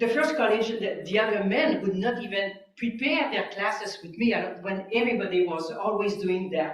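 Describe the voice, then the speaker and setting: A woman with a Quebec accent at a moderate pace, with audible room echo. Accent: French Canadian accent in English. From Quebec, French Canada. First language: French. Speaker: physicist. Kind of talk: public talk. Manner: hesitant, many fillers.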